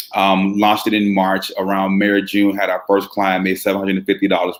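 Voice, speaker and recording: With an American accent, a man talks very fast in a fairly low pitch. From Chicago, South Side. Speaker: brand marketing agency founder. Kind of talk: interview. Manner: hesitant, many fillers and repeats.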